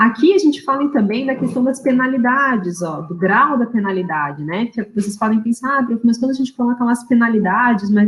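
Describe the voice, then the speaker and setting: Her intonation is lively and her voice somewhat breathy. The woman talks at a fairly quick pace. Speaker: university lecturer. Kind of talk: online lecture. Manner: fast.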